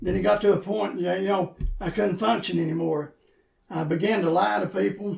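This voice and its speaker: Speaking at a moderate pace in an Appalachian accent, a man uses a high pitch and lively intonation. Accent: Appalachian Kentucky. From Eastern Kentucky. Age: 60s. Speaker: former pastor and coal miner in recovery. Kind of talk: interview testimony. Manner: halting.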